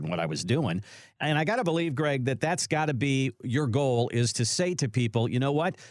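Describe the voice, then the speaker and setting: A man of medium pitch with vocal fry, lively intonation and a fairly quick pace. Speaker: radio show host. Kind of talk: casual radio talk show chat.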